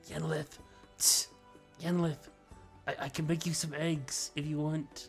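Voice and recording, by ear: Over clear music in the background, a put-on character voice at a middle pitch moves at a fairly slow pace with long, frequent pauses.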